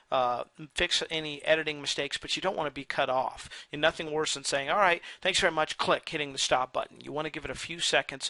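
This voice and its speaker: The voice has a bright, sharp tone and ordinary pitch variation, moving at a fairly quick pace in a dry, close sound with no echo over a quiet background. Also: man. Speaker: online marketer and video tutorial maker. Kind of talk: sales pitch; tutorial. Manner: fast; casual, with many fillers.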